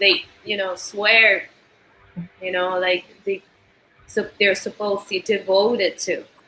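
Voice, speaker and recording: At a fairly slow pace, a woman speaks in an Argentine accent at a medium pitch, with long, frequent pauses. Her intonation is monotone and flat. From Argentina. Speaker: musician. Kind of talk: interview conversation.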